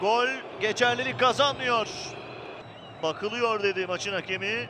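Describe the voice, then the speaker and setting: Over noticeable background noise, a man with an extremely high pitch uses a raised, projected voice at a fairly slow pace with ordinary pitch variation. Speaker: football commentator. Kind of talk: live football match commentary, highlights reel.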